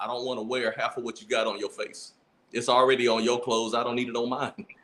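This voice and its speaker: A man with a Louisiana accent, at a fairly quick pace. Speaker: podcast co-host. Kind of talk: casual chat. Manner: animated.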